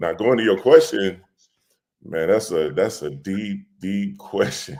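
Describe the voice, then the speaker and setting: At a very slow pace, a man with an American accent speaks in a dark, mellow tone at a fairly low pitch with ordinary pitch variation. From Memphis then Detroit, US. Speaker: podcast guest, former athlete. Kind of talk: casual conversation, personal story. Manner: relaxed, conversational with fillers.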